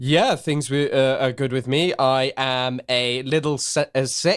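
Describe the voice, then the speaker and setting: On a very clean recording with a silent background and a dry, close sound with no echo, a man of medium pitch speaks fairly slowly in an English accent, with fairly even intonation and very even loudness. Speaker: podcast co-host. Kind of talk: casual chat.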